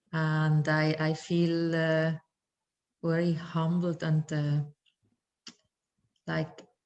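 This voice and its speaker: A woman with a non-native accent, a very deep, low pitch and monotone, flat intonation, at a very slow pace with long, frequent pauses and very even loudness. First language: not English. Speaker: workshop participant. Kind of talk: group sharing. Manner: halting.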